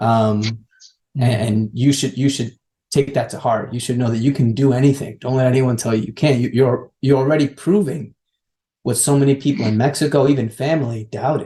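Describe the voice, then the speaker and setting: At a fairly quick pace, a man talks in a dark, mellow, somewhat breathy tone with fairly even intonation. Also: medium pitch for a man. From Mexico. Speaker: education advocate. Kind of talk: interview answer.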